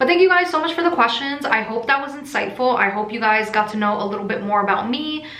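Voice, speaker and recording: A woman with an American accent talks very fast, with hardly any pauses and lively intonation. Her voice is fairly high, with audible room echo and noticeable background noise. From USA. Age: 20s. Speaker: crystal seller and YouTuber. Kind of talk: casual Q&A vlog. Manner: tends to mumble.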